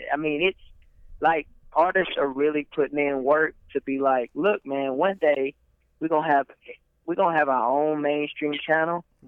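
A man with a fairly high pitch, fairly even intonation, and a Southern US accent. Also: moderate pace. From Alabama (Troy area). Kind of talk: casual chat.

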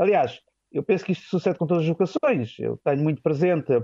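A man's high voice, its pitch moving in an ordinary way. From Portugal, Vila Franca de Xira near Lisbon. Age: 40s. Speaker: seminarian about to be ordained deacon. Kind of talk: radio interview.

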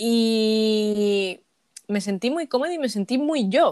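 Lively intonation marks a woman's fairly high voice, which sounds dry and close with no echo. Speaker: podcast host. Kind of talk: casual chat.

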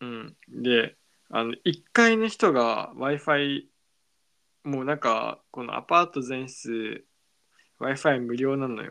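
The voice has a bright, sharp tone and moves at a very slow pace, with ordinary pitch variation and big swings in loudness. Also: man, medium pitch for a man. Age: 20s. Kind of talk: casual chat. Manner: playful.

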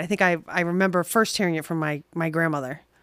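A woman talks in a New York accent with ordinary pitch variation. The recording is very clean, with a silent background. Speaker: guest. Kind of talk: casual banter.

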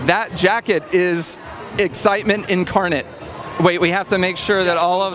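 Against noticeable background noise, a high-pitched man talks at a fairly quick pace. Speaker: podcast host. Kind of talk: red carpet interviews and intro. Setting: live event. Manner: animated.

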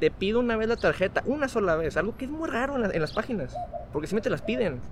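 A man talks at a high pitch with very wide pitch swings. Noticeable background noise is present. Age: young. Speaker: software architect and innovation coach. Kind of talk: casual interview chat.

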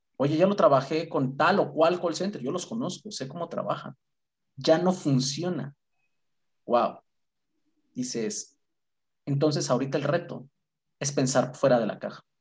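Breathing somewhat audibly into his words, a man speaks in a fairly high pitch at a fairly slow pace. He takes long, frequent pauses. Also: ordinary pitch variation. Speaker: credit and collections operations manager. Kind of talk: interview. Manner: talkative.

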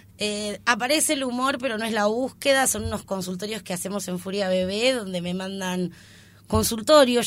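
On a very clean recording with a silent background, a woman with an ordinary speaking voice talks at a fairly quick pace with ordinary pitch variation. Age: 30s. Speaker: comedian. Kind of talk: casual interview.

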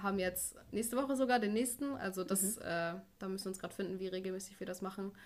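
Speaking in a normal speaking voice, a woman uses a medium pitch with ordinary pitch variation. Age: 20s. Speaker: nursery teacher and church youth co-leader. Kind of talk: casual interview.

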